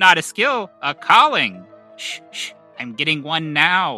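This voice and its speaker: Faint music plays in the background as a man does a put-on character voice, fairly high in pitch and fairly slow. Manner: mystical, dramatic.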